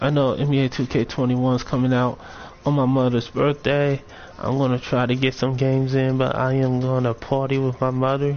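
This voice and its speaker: A man speaks at a medium pitch. His intonation is flat and monotone. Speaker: gaming streamer. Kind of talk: live stream commentary on game builds. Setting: live broadcast. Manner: halting, self-correcting; casual.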